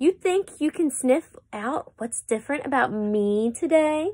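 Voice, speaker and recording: A woman uses a put-on character voice at a high pitch. Her pace is fairly slow. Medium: read story.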